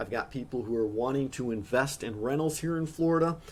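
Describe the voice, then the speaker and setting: A plain, everyday voice with ordinary pitch variation at a moderate pace. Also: man. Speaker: real estate agent. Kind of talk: workshop presentation. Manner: casual, conversational.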